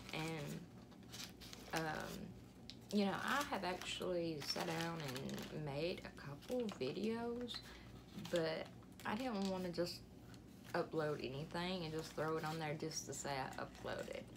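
A woman speaks at a very slow pace with an Alabama accent, her pitch fairly low and her intonation lively. Noticeable background noise runs behind her. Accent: Southern US (Alabama). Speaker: vlogger. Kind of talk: casual vlog monologue. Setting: home, sitting on bed. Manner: rambling, lots of fillers. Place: home room. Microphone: phone near.

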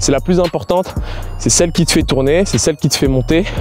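Faint music plays in the background as a man speaks at a high pitch with ordinary pitch variation, the sound dry with no echo. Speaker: acrobatics coach. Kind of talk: tutorial. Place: open country.

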